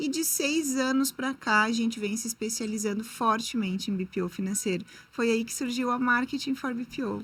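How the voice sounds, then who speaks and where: At a moderate pace, a woman speaks with ordinary pitch variation and hardly any pauses. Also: fairly high pitch for a woman. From southern Brazil, Rio Grande do Sul. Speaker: marketing entrepreneur. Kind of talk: interview podcast.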